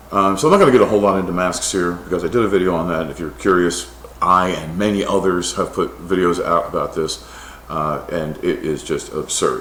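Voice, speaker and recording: A man with an American accent at a fairly quick pace, with audible room echo and noticeable background noise. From United States. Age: 60s. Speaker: scientist. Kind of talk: opinion monologue. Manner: animated.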